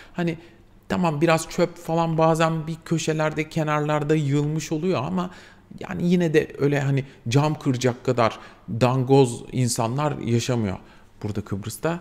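Delivered at a moderate pace, the speech shows ordinary pitch variation. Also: man, fairly high pitch for a man. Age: 40s. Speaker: vlogger, mature student; vlogger. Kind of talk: casual vlog monologue. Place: home room.

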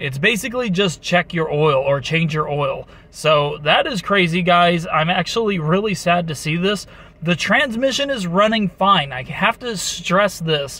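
Here a man speaks in a high pitch at a fairly slow pace. The sound is dry with no echo. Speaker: car owner vlogger. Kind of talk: casual vlog chat. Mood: mildly worried. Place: car. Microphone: phone near.

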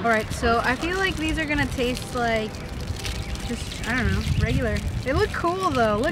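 A woman talks at a moderate pace in a dry sound with no echo, set against loud background noise. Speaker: vlogger. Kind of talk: casual vlog chat, taste test. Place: garden.

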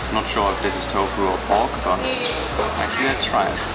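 Music can be heard behind a man's voice. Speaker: food vlogger. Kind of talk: casual vlog chat. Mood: relaxed, appreciative. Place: cafe. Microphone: phone near.

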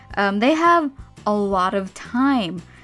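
Music plays behind a woman as she talks. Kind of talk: rant commentary over speedpaint.

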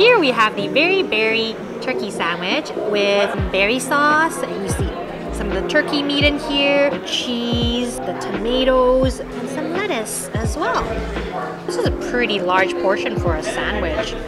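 Loud music plays behind a woman who talks at a fairly slow pace. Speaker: food vlogger. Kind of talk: casual food review vlog. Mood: happy, enthusiastic. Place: cafe. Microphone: camera far.

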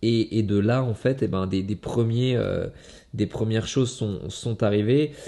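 Against a quiet background, a man talks at a fairly slow pace with a dark, mellow tone and fairly even intonation. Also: medium pitch for a man. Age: 30s. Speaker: kickboxing world champion. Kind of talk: motivational monologue to camera. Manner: halting, many fillers and repetitions. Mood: reflective, earnest. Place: home room.

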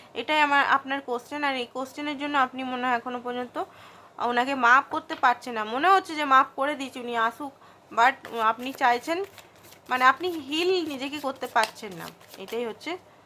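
A woman's high, bright and sharp voice, raised and projected, with ordinary pitch variation and big swings in loudness. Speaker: tarot card reader. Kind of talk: tarot reading monologue.

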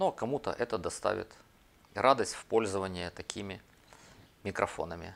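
A man speaks at a moderate pace with long, frequent pauses, his fairly low voice showing ordinary pitch variation. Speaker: video blogger. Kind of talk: tutorial. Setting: at a table with laptop.

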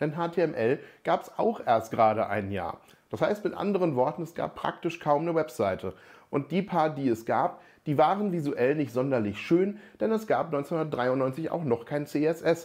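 Over a quiet background, a man with a fairly high pitch talks fairly slowly with lively intonation. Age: 40s. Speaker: software developer and tech educator; tech educator. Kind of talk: tech explainer video. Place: office. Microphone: lapel.

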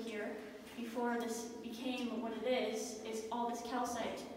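Recorded with strong room echo and light background noise, a woman speaks at a high pitch. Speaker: mine tour guide. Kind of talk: guided tour explanation. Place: tunnel cave. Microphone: camera far.

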